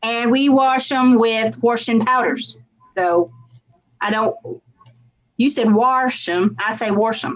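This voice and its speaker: A fairly high-pitched woman in a Southern US accent, very slow, with long, frequent pauses. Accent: hillbilly Southern, stronger when excited. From rural US South. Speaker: crafter, YouTuber. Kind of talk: casual chat.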